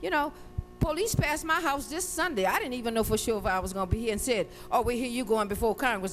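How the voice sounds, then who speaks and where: With music in the background, a woman with a New Orleans accent speaks in an animated tone with a fairly high pitch and very wide pitch swings. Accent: New Orleans speech. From New Orleans, Louisiana. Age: 60s. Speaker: hurricane survivor witness. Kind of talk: testimony.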